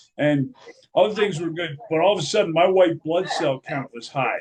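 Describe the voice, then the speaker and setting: A high-pitched man talks at a medium speed, his pitch varying in an ordinary way. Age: 50s. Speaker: podcast host, cancer patient. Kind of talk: casual chat.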